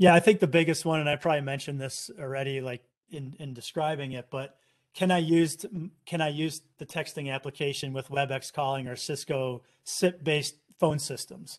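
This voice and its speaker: The voice has an American accent and moves at a fairly quick pace with fairly even intonation. Loudness swings widely against a quiet background. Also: man, fairly high pitch for a man. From Chicago area, US Midwest. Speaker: software company executive. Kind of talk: casual interview.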